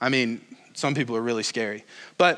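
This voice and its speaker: Loud and animated, a man speaks at a moderate pace in a bright, sharp tone on a very clean recording with a silent background. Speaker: pastor. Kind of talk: sermon. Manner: casual, animated.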